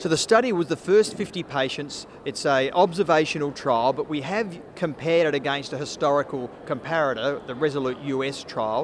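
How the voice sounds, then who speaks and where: A man talks at a fairly quick pace with hardly any pauses and ordinary pitch variation. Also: fairly high pitch for a man. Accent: Australian. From Australia. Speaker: cardiologist. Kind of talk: interview.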